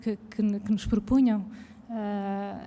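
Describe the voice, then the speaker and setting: A soft-spoken woman talks at a very slow pace with a fairly high pitch. Her intonation stays monotone and flat. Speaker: arts educator. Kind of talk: public conversation. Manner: halting, many fillers.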